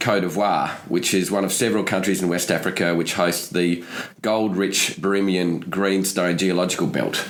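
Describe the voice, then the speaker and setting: A man with an Australian accent talks at a fairly quick pace and fairly low pitch, with noticeable background noise and audible room echo. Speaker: podcast host. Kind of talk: podcast interview; scripted show intro.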